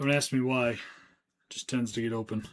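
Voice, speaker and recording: Mumbling, a man talks at a medium pitch. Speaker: trading card seller and streamer. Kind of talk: live stream chat while working. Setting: live stream. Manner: mumbling to himself.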